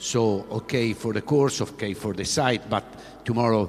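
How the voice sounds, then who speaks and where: A man with an Italian accent speaks at a fairly low pitch. His pitch varies in an ordinary way, with noticeable background noise. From Italy. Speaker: sports official, former track athlete. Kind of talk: press conference speech. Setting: press conference on stage. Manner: halting, many fillers and repetitions.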